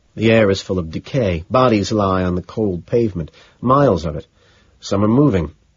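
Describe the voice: Ordinary pitch variation over plain reading aloud.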